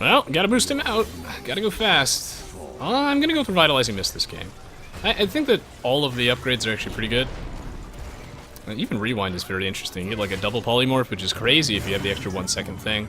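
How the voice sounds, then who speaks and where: Music plays behind a man talking at a very fast pace. He leaves long pauses, and often. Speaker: gaming streamer. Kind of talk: live gameplay commentary. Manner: animated.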